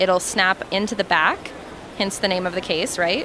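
A woman speaks at a moderate pace in a dry sound with no echo. Noticeable background noise runs underneath. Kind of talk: product demo interview answer. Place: hall. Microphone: handheld.

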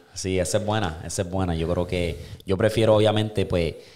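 Very deep and low, a man's voice carries a dark, mellow tone with ordinary pitch variation. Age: 20s. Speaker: podcast host. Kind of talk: casual chat. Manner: animated. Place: studio. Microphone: studio mic.

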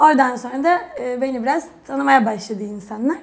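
Moderate-paced speech from a woman, fairly high in pitch. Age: 20s. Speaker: retired national gymnast; guest. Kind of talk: casual interview chat. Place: studio. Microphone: lapel.

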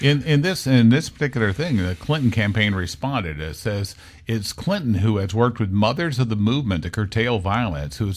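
Over a quiet background, a plain, everyday voice moves at a fairly quick pace with lively intonation. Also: man. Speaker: radio talk show host. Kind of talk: casual talk radio discussion. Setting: radio studio, also filmed. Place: studio.

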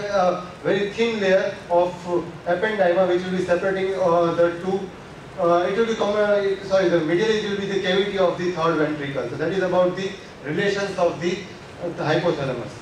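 A man speaks at a fairly quick pace in a high voice with fairly even intonation. Audible room echo and light background noise surround him. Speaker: anatomy lecturer. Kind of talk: lecture. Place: classroom.

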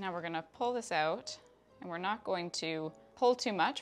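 A woman's fairly low voice with a Canadian accent and lively intonation, music in the background. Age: 30s. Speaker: craft hobbyist YouTuber. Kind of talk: craft tutorial narration while working.

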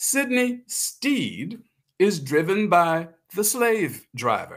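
A man speaks with an American accent and very wide pitch swings. The background is quiet. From South Carolina. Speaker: author and performing artist. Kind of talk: story reading. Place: home room.

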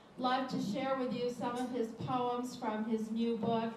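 A woman speaks in a high voice at a fairly slow pace. Audible room echo and light background noise can be heard. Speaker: event host introducing a poet. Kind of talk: spoken introduction at a live event. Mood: warm, friendly. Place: hall.

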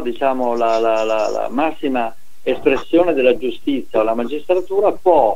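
With a normal speaking voice and ordinary pitch variation, a man keeps to a moderate pace. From northern Italy, Veneto (Treviso area). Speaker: retired professor, sociologist. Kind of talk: interview. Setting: phone call.

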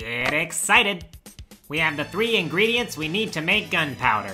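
A put-on character voice sits at a middle pitch and moves at a moderate pace. Faint music plays in the background. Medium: dub.

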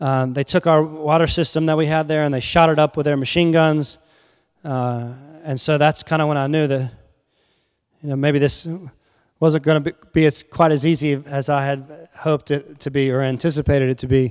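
A man with a Southern US accent speaks at a moderate pace in a fairly high pitch. His intonation is monotone and flat, over a quiet background. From North and South Carolina. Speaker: humanitarian nonprofit founder; guest lecturer. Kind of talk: lecture. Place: church. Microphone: handheld.

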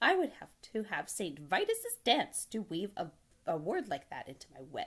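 At a moderate pace, a woman does a cartoonish character voice, fairly low in pitch with a slightly husky edge and very wide pitch swings.

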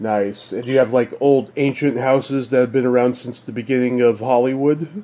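A man's medium-pitched delivery at a moderate pace, fairly even in intonation, with hardly any pauses. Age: 40s. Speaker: podcast host. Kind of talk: casual chat.

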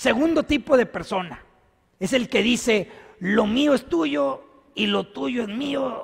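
A man talks with an animated tone and very wide pitch swings. The background is quiet. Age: 50s. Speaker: priest. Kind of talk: sermon. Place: church. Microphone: podium.

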